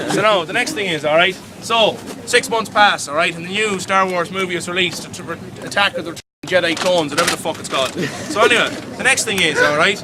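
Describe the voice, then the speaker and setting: A man talks at a very fast pace with a high pitch and ordinary pitch variation. Noticeable background noise is present. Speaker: tour guide. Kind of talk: live guided tour storytelling. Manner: comedic, animated.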